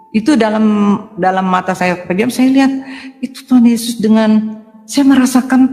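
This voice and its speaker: Noticeable background noise can be heard in the recording. A woman speaks at a moderate pace with lively intonation. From Indonesia, Palembang, raised in Jakarta. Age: 60s. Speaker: doctor giving conversion testimony. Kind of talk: testimony. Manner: halting.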